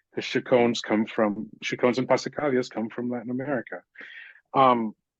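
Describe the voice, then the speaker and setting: In a Miami accent, a man talks with fairly even intonation in a dry, close sound with no echo. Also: medium pitch for a man, quiet background. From Miami, Florida. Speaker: conductor. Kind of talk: panel discussion. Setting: video call. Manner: halting, many fillers.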